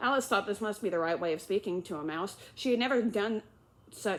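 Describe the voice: Someone is doing plain reading aloud. The passage is just read through.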